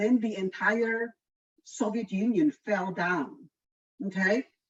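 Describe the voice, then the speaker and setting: A woman with a Polish accent speaks very slowly at a fairly high pitch, her somewhat breathy voice showing ordinary pitch variation in a dry, close recording with no echo. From Poland. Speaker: environmental economist. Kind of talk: lecture.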